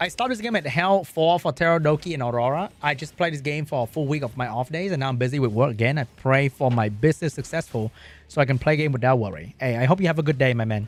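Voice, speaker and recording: Lively intonation marks a man's fairly high-pitched voice with a Vietnamese accent. He talks at a very fast pace. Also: hardly any pauses. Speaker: gaming streamer. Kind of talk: casual livestream chat. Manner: animated.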